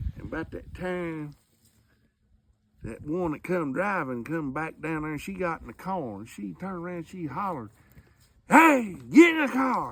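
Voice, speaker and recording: Speaking with a Southern US accent, a man with fairly high pitch talks at a moderate pace with lively intonation. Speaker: storyteller. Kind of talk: storytelling to family.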